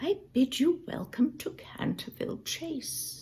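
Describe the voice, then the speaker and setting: The put-on character voice is high-pitched and comes at a fairly slow pace. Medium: read story. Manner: quaint, old-fashioned, low.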